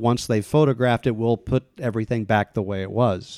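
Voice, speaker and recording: A man's medium-pitched voice with an American accent, a fairly quick pace, a dark, mellow tone, fairly even intonation and a dry, close sound with no echo. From US Midwest, Kansas City, Missouri. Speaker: movie theater owner. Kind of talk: interview.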